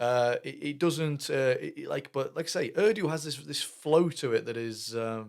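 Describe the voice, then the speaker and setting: This man talks at a moderate pace with a British accent. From Britain. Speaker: music reaction youtuber. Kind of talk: reaction commentary. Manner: halting, many fillers and repetitions.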